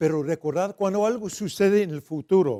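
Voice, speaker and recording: A man's dark, mellow tone with lively intonation, on a very clean recording with a silent background. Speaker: preacher. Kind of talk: bilingual sermon. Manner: loud; code-switching Spanish and English.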